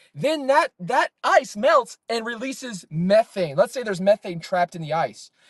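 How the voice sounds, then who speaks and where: A man with an American accent speaks at a high pitch in an animated tone, swinging very widely in pitch with hardly any pauses, and the sound is dry and close with no echo. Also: moderate pace. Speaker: streamer. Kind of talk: heated debate. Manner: interrupting.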